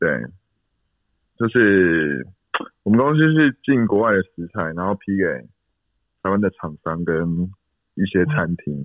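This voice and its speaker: A man talks at a fairly slow pace in a fairly low pitch, leaving long, frequent pauses. His pitch swings very widely. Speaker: salesperson, dating show contestant. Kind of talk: casual chat.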